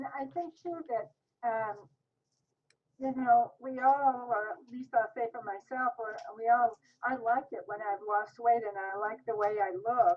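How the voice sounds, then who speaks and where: A woman with an unremarkable speaking voice talks fairly slowly at a fairly high pitch, showing ordinary pitch variation and big swings in loudness. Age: 60s. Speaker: diet program participant. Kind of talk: interview.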